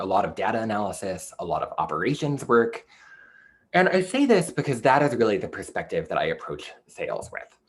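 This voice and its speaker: The pace is fairly quick. It's a man with an American accent. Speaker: publishing sales representative. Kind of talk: online presentation. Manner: fast.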